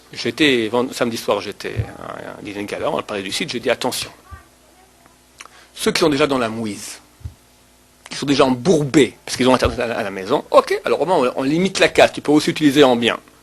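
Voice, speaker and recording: Amid noticeable background noise, a man speaks in an animated tone with big swings in loudness and long, frequent pauses. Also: medium pitch for a man, ordinary pitch variation. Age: 40s. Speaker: rabbi. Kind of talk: lecture.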